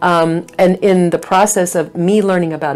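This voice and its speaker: A woman speaks over noticeable background noise. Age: 60s. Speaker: minister and counselor. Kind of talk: interview conversation. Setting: church. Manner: halting, many fillers.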